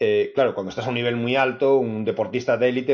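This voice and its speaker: A man at medium pitch talks very fast, keeping his intonation fairly even. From Spain. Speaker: author. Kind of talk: interview conversation.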